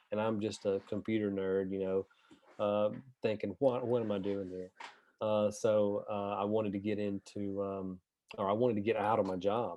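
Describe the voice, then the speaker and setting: In a strong Southern US accent, a man speaks at a moderate pace with a fairly low pitch and a monotone, flat intonation. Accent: deep Southern US. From US South, northern Alabama. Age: 40s. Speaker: real estate investor and agent. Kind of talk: interview.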